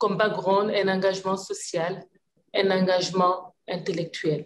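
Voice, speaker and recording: At a moderate pace, a woman speaks in a medium pitch over light background noise. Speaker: government minister. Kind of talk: panel discussion. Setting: video call. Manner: passionate. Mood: earnest, thoughtful. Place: office. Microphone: video call.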